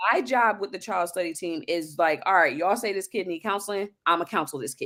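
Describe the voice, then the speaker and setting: Loud and very fast, a woman with a medium-pitched, bright, sharp tone speaks with lively intonation. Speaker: school social worker. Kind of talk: casual chat. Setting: live podcast stream.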